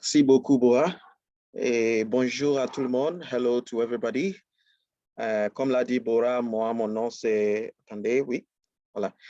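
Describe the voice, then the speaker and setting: A man with an English accent speaks at a fairly slow pace in a medium pitch with ordinary pitch variation and a dark, mellow tone, recorded with a dry, close sound and no echo. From Ghana. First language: English (speaking French). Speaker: business trainer. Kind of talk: webinar presentation. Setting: live online webinar. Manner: hesitant, many fillers.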